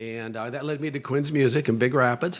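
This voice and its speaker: A man with an American accent and a normal speaking voice, fairly quick in pace, with ordinary pitch variation. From northern Michigan, US. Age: 60s. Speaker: guitar maker and school founder. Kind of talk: casual interview chat.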